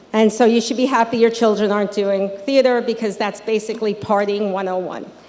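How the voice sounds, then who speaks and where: This woman has an American accent and a fairly high pitch. Noticeable background noise can be heard behind her. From Long Island, New York. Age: 60s. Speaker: local politician. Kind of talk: commencement speech. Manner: casual, conversational.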